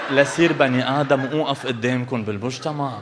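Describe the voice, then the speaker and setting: A man with a Lebanese accent, over noticeable background noise. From Lebanon. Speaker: stand-up comedian. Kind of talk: live stand-up comedy.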